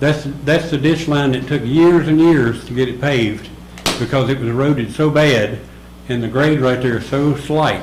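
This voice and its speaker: A man's medium-pitched voice at a moderate pace with fairly even intonation, amid audible room echo and noticeable background noise. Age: 70s. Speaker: resident speaking at public comment. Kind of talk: public comment at a town meeting.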